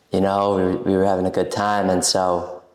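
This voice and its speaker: With an American accent, a man talks at a moderate pace and a fairly low pitch. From US Northeast, Brooklyn, New York. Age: 20s. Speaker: coffeehouse owner. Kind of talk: casual chat.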